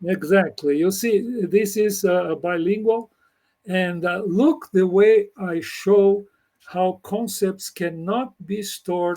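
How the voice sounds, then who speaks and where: A man with a Brazilian Portuguese accent speaks at a very slow pace in a high, dark, mellow voice, his pitch varying in an ordinary way while his loudness swings widely. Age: 80s+. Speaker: computer scientist. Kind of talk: interview conversation. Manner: halting.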